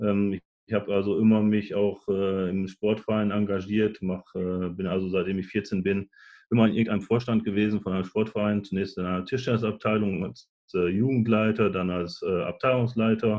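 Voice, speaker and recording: The man's intonation is flat and monotone. His pitch is fairly low and his pace moderate. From northwestern Germany, Nordhorn (Lower Saxony). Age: 40s. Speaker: sports club chairman with Parkinson's. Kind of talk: interview.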